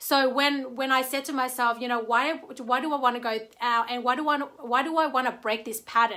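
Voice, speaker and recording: In a very clean recording with a silent background, a woman with a non-native accent uses a raised, projected voice at a high pitch and a moderate pace. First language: not English. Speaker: network marketer. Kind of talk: livestream talk. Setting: live video stream.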